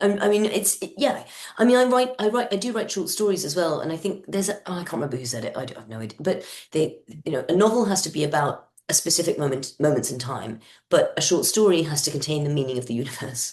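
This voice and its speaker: A woman with a British accent, fairly low in pitch, talking at a very fast pace with very wide pitch swings. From peripatetic childhood (US, Kenya, Madagascar, Yemen, Morocco). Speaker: novelist. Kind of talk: interview. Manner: halting.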